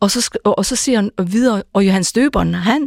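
In a Faroese accent, a woman speaks at a medium pitch and a fairly slow pace with ordinary pitch variation, in a dry, close sound with no echo on a very clean recording with a silent background. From Faroe Islands. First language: Faroese (speaking Danish). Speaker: pastor. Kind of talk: radio panel discussion.

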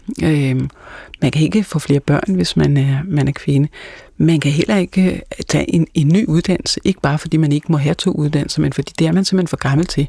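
A woman with a very deep, low pitch and a dark, mellow tone speaks at very even loudness with ordinary pitch variation, recorded in a dry, close sound with no echo. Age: 50s. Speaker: pastor and Kierkegaard scholar. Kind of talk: casual chat. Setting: studio.

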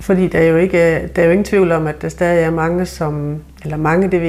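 There is audible echo in the room. A woman speaks at a moderate pace. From Southern Jutland, Denmark. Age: 50s. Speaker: member of German minority. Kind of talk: interview.

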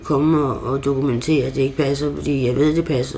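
Amid audible room echo and noticeable background noise, a woman with a very deep, low pitch speaks at a moderate pace with fairly even intonation. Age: 60s. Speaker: psychiatric patient. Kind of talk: interview. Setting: at home. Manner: halting.

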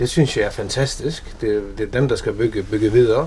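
Noticeable background noise is present. Over it, a man speaks at a moderate pace. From Faroe Islands. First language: Faroese (speaking Danish). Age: 50s. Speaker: businessman. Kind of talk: casual interview. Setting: at home in an old house. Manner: halting, many repeated words.

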